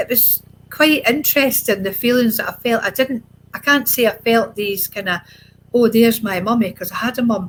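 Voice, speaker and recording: In a Scottish accent, a woman talks with a fairly high pitch. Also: ordinary pitch variation, moderate pace. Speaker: adoptee sharing her life story. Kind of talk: interview testimony.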